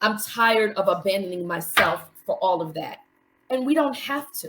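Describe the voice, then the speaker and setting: Woman with an American accent, in a normal speaking voice, with lively intonation at a moderate pace. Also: fairly high pitch for a woman. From New York City. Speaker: mental health coach, support group facilitator. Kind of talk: live stream interview.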